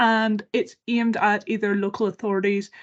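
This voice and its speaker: A woman speaks with a Northern Irish accent and a fairly high pitch. The background is quiet. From Northern Ireland. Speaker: campaign organisation worker. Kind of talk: webinar presentation. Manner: fast.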